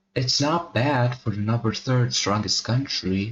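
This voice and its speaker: A soft-spoken man talks in a somewhat breathy voice. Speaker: mapping video creator. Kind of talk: casual narration over map video. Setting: home recording at night. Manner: quiet, soft-spoken.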